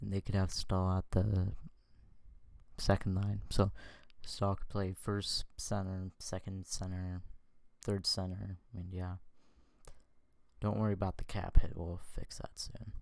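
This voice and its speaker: On a very clean recording with a silent background, the quiet voice speaks at a fairly slow pace in a monotone, flat intonation, with long, frequent pauses and big swings in loudness. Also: man, very deep, low pitch for a man. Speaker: sports YouTuber. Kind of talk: casual commentary on screen. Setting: at home.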